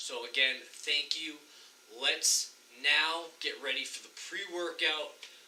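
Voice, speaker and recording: A loud man at a fairly slow pace, with noticeable background noise. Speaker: fitness vlogger. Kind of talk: vlog narration. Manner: energetic.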